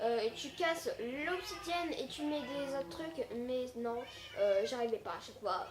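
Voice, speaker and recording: Very wide pitch swings come through over noticeable background noise and audible room echo. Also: woman. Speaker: gaming YouTuber. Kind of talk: gameplay commentary. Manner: hesitant, many fillers.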